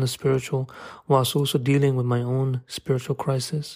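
In a very clean recording with a silent background, a man speaks at a moderate pace in a somewhat breathy, monotone voice with flat intonation. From London. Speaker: writer and photographer. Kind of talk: scripted narration.

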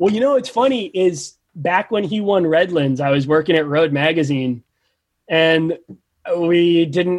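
A man with a New Jersey accent talks at a moderate pace with a fairly high pitch. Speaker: professional bike racer and journalist. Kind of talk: casual chat. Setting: video chat.

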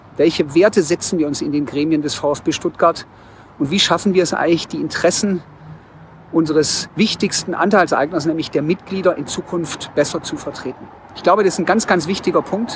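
Here a man talks at a fairly quick pace. His pitch is high and his intonation fairly even. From Swabia, Germany (Tübingen). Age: 40s. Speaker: bookstore executive and club board candidate. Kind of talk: campaign statement.

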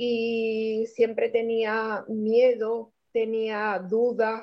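At a very slow pace, a woman speaks. Her voice is fairly high in pitch. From Spain, Cádiz (Andalusia). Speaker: guest sharing personal story. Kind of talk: testimony. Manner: halting, repeated words.

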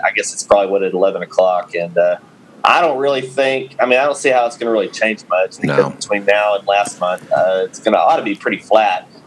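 Noticeable background noise under a fairly quick pace of speech. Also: man. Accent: West Texas. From Texas. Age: 30s. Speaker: farmer and podcast co-host. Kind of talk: casual chat.

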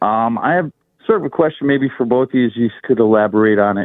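A man's normal speaking voice with lively intonation at a moderate pace. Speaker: caller. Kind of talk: radio call-in. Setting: phone call.

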